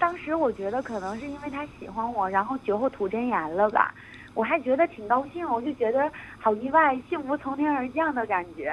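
Lively in intonation, a woman speaks at a fairly quick pace in a high pitch. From Northeast China. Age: 20s. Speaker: student abroad. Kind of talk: phone-in confession.

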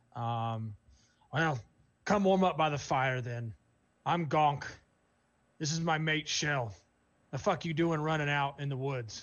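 A man speaks in a put-on character voice, pitched fairly high. His pace is fairly slow, with long, frequent pauses. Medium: actual play. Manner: blunt, profane.

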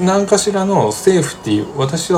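A man speaks with very wide pitch swings. Noticeable background noise and audible room echo surround his voice. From Mie Prefecture, Japan. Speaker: podcast co-host. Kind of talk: casual chat.

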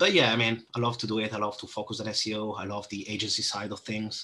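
A man with an Italian accent, a bright, sharp tone, medium pitch, monotone, flat intonation and a moderate pace. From Italy. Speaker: SEO manager. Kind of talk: interview.

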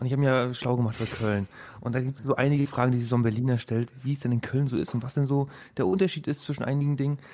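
His intonation stays fairly even. The man speaks at a very fast pace. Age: 20s. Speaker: podcast host. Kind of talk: casual chat.

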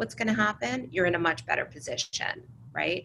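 A woman's bright, sharp voice in an American accent, with vocal fry and very wide pitch swings. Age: 40s. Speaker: entrepreneur. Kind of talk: interview.

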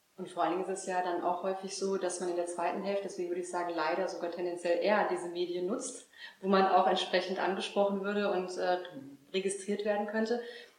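Over noticeable background noise and audible room echo, a woman talks very fast in a medium pitch with a monotone, flat intonation. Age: 40s. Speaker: health coach. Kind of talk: interview. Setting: at the guest's estate.

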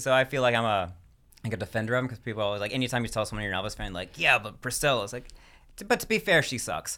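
In a very clean recording with a silent background, the voice has an American accent, a bright, sharp tone, ordinary pitch variation and a very fast pace. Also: man, medium pitch for a man. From US South. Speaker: stand-up comedian. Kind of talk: casual chat. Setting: studio. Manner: fast talker.

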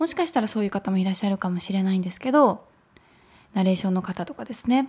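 A woman's somewhat breathy, relaxed voice at a medium pitch, with lively intonation. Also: very clean recording, silent background. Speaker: company owner and online radio host. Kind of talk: casual solo talk radio. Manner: relaxed, laughs often.

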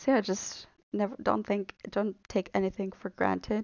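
A woman's medium-pitched voice with vocal fry, fairly even intonation and a moderate pace. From Bulgaria. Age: 20s. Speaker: podcast host, graduate student. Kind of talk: casual solo monologue.

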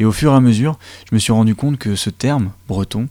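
A dark, mellow voice with fairly even intonation, captured in a very clean recording against a silent background. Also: man. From Côtes-d'Armor, Brittany. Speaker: community radio host. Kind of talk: radio show hosting.

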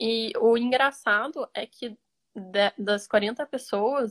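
Her pitch sits fairly high, and her intonation stays fairly even. The woman's sound is dry and close with no echo, over a quiet background. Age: 20s. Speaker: computer engineering student. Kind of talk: interview. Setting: Instagram live.

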